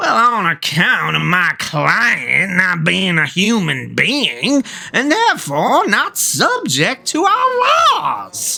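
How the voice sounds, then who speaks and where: A cartoonish character voice moves at a very slow pace with hardly any pauses. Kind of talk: courtroom speech. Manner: excitable, over-eager.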